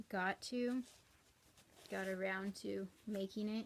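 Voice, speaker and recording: A soft-spoken woman talks at a very slow pace. Her intonation is flat and monotone. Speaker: cross-stitch vlogger. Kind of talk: casual chat. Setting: at home. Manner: rambling.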